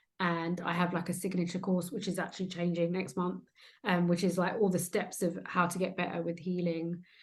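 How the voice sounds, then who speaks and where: A woman with a British accent speaks fairly quickly in a fairly low, somewhat breathy voice with monotone, flat intonation. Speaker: trauma transformation coach. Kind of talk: interview conversation. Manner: hesitant, filler words.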